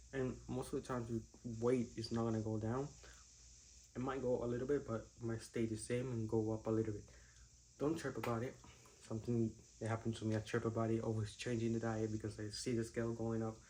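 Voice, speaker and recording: A man's dark, mellow, somewhat breathy voice with a Spanish accent, medium in pitch and monotone, at a very fast pace yet with long, frequent pauses, in audible room echo. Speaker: fitness vlogger. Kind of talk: casual vlog talk to camera. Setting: gym.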